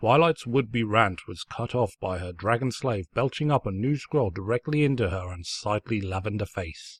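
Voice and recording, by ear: The intonation here is lively. A natural voice reads the text aloud.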